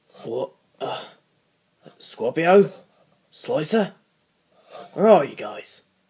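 Someone uses a raspy, put-on character voice at a very slow pace, leaving long, frequent pauses. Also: man, high pitch for a man. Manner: confused, dismayed.

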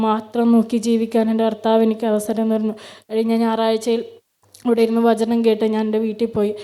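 The woman talks at a fairly high pitch. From Kerala, Kannur district. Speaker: church member giving testimony. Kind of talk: testimony.

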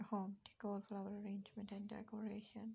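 A woman talks at a medium pitch and a fairly quick pace, her dark, mellow tone carrying a husky, rough edge and vocal fry. Her intonation stays monotone and flat.

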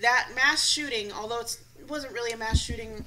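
The speech comes very fast. Background noise is noticeable. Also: woman. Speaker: talk show co-host. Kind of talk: casual chat. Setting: studio. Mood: blunt, opinionated, emphatic. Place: studio. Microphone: studio mic.

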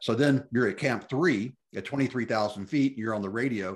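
With an American accent, a man talks at a moderate pace with ordinary pitch variation. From US South, Memphis; Tennessee. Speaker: podcast host, mountaineering blogger. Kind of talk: casual interview. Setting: video call. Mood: warm, conversational. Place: home room. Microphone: video call.

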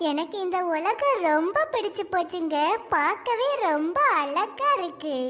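Over clear background noise, a woman puts on a cartoonish character voice at an extremely high pitch and a very slow pace.

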